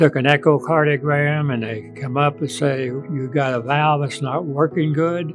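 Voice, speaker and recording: A man's fairly high voice at a moderate pace, fairly even in intonation, with hardly any pauses and music in the background. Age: 80s+. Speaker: heart patient, designer of recreational water facilities. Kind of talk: interview answer, patient testimonial. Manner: casual, halting.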